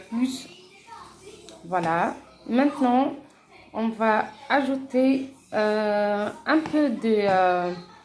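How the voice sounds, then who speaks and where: Very slow, fairly high-pitched female speech with long, frequent pauses and noticeable background noise. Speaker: home cooking vlogger. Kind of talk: cooking tutorial. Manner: soft-spoken; halting, many hesitations.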